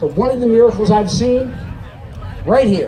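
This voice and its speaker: Speaking at a fairly slow pace, a man with a high voice comes through with audible room echo and noticeable background noise. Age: 60s. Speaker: cannabis activist speaker. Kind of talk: rally speech. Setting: outdoor stage with audience.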